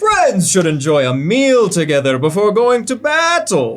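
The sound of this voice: A booming, put-on character voice at middle pitch swings very widely in pitch while moving at a moderate pace.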